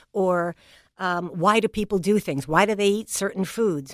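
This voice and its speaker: Heard dry and close with no echo, a woman with a New England accent talks at a moderate pace and fairly low pitch. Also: very clean recording, silent background. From New England, New Bedford, Massachusetts. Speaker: education leader, former dean. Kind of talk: interview conversation.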